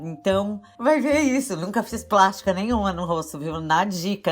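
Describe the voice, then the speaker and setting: A woman speaks at a fairly slow pace, her pitch swinging very widely. Music plays in the background. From interior of São Paulo state, Brazil. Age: 60s. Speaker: music therapist. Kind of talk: casual interview chat. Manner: animated.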